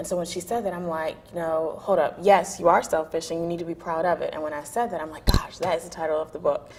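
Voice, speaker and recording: Very fast speech in an American accent, with hardly any pauses, fairly even intonation and big swings in loudness. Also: woman, fairly low pitch for a woman. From North Carolina, Raleigh. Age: 20s. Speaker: author. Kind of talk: interview.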